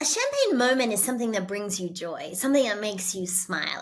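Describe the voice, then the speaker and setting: On a very clean recording with a silent background, a woman with a fairly high pitch talks at a fairly quick pace. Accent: Australian. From Australia. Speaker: keynote speaker and author. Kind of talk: podcast interview. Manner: energetic.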